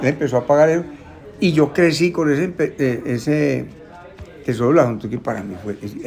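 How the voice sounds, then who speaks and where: A man's fairly high voice with lively intonation at a fairly quick pace, broken by long, frequent pauses, over noticeable background noise. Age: 70s. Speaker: bookseller. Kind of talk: casual chat. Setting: bookshop.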